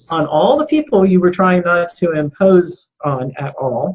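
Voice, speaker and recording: The woman's voice is somewhat breathy and fairly low, at a fairly slow pace. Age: 60s. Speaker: health specialist. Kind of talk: interview.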